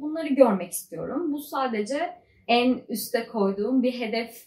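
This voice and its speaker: A woman talks at a fairly slow pace with an unremarkable speaking voice. Her pitch variation is ordinary. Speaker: PhD student vlogger. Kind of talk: casual vlog monologue.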